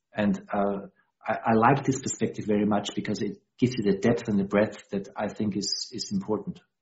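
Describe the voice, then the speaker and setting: A man with a German accent speaks in a fairly low pitch, somewhat breathy, with fairly even intonation. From Austria. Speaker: dialogue practitioner. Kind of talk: interview. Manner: halting.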